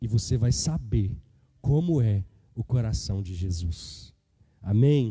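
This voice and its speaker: This man's voice has a dark, mellow tone, a somewhat breathy quality and lively intonation. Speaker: preacher. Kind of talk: sermon.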